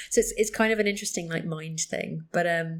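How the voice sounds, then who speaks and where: On a very clean recording with a silent background, a woman with a British accent speaks at a fairly low pitch with fairly even intonation. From UK. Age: 30s. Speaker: psychotherapist. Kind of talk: interview conversation.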